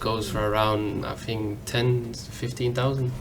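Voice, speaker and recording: A man talks with audible room echo. Music plays in the background. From Denmark. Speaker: fashion enthusiast. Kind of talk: casual interview. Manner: halting.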